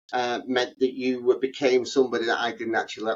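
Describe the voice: A man talks at a fairly quick pace and medium pitch. His intonation stays fairly even.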